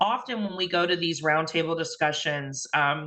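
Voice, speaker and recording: With a Midwestern American accent, a woman talks fairly quickly in a fairly low, bright, sharp tone with ordinary pitch variation. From Indiana, US. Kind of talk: invited talk. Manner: hesitant, many fillers.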